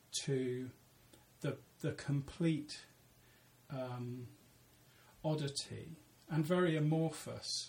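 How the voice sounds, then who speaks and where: The man's intonation stays fairly even. His voice comes across as somewhat breathy. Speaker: novelist and creative writing lecturer. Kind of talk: casual interview. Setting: office. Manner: halting.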